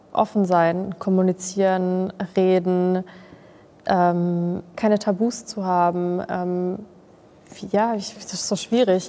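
At a very slow pace, a woman of medium pitch speaks in a monotone, flat delivery with long, frequent pauses and big swings in loudness. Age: 20s. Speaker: social media creator and trained graphic designer. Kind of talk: casual chat.

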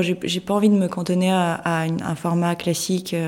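At a moderate pace, a woman of medium pitch speaks in a Russian accent with a monotone, flat intonation. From Moscow, Russia. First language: Russian (speaking French). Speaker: photographer and artist. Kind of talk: interview. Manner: halting, hesitant.

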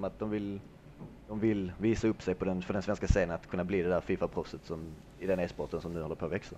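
His voice is very deep and low, with ordinary pitch variation. The man speaks at a fairly quick pace. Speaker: esports FIFA player. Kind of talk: casual chat.

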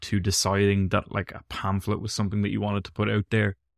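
In a very clean recording with a silent background, a man with an Irish accent talks at a fairly low pitch. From Ireland. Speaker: podcast host. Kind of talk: interview.

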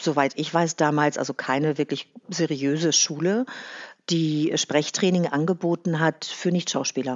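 A very deep, low female voice at a fairly slow pace, with fairly even intonation. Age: 50s. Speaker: actress and voice-over artist. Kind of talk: casual interview. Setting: video call.

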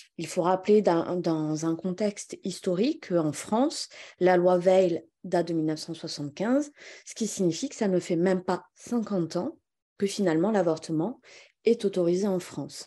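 Over a quiet background, a woman with a dark, mellow tone talks at a fairly slow pace. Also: medium pitch for a woman, ordinary pitch variation. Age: 30s. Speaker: lawyer. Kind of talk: political discussion.

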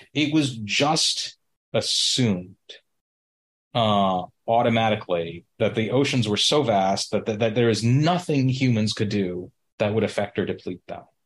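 With an American accent and a plain, everyday voice, a man talks at a fairly slow pace, medium pitch and ordinary pitch variation against a quiet background. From US, Indian American family. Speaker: podcast guest, business consultant. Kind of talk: casual conversation and discussion.

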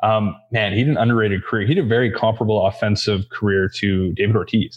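A fast-talking man, fairly low in pitch, with fairly even intonation

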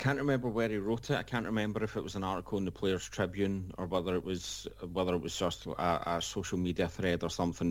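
Lively intonation and vocal fry from a man, in a very clean recording with a silent background. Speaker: football podcast panelist. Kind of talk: casual banter.

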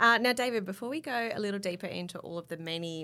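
A woman with an Australian accent speaks at a fairly quick pace. Her tone is bright and sharp, and her intonation lively. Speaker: magazine editor and podcast host. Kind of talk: casual chat. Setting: studio.

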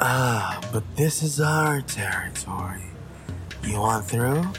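Loud music plays behind a man using a guttural, put-on character voice at a medium pitch and a fairly slow pace. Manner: menacing, territorial.

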